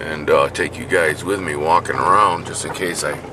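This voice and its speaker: Noticeable background noise beneath a voice of ordinary pitch variation. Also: man. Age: 40s. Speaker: hunting vlogger. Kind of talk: casual vlog narration. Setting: outdoors.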